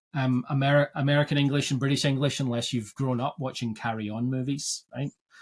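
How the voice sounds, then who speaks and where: A man with a Scottish accent speaks at a fairly quick pace and a medium pitch. His voice is somewhat breathy, with monotone, flat intonation. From Scotland. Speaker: agile coach podcast host. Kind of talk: casual podcast conversation. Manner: halting, repeats words.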